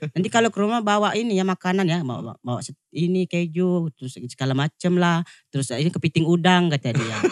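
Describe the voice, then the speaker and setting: Speaking in a strong Lampung accent, a man talks at a fairly quick pace with a high pitch and lively intonation, recorded dry and close with no echo. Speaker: TikTok comedian. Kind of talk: casual chat.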